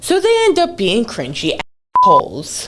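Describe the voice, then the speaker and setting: A woman's voice rises and falls in very wide pitch swings. Noticeable background noise sits behind her. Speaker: animated storytime youtuber. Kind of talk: storytime monologue. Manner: casual.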